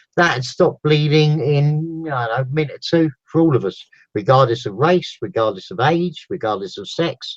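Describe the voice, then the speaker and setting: Somewhat breathy, lively intonation at a moderate pace, with a dry, close sound and no echo. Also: man. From London. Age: 50s. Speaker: back care therapist. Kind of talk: interview. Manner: animated.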